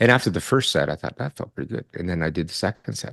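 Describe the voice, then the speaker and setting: Very fast and full of vocal fry, a man's voice swings very widely in pitch, with a dry, close sound, no echo and a quiet background. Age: 60s. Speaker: retired psychology professor. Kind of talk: interview.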